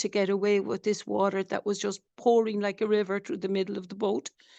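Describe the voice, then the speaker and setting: A woman with a strong Irish accent, medium pitch and fairly even intonation, in a dry, close sound with no echo. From Ireland. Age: 60s. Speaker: doctor, flotilla activist. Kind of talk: testimony. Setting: webinar video call.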